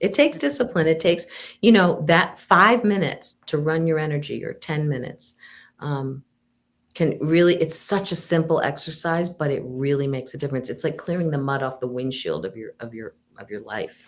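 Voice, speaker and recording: A woman's very deep, low voice at a fairly quick pace, lively in intonation with big swings in loudness, on a very clean recording with a silent background. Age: 60s. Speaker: psychic medium and counselor. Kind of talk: casual interview chat.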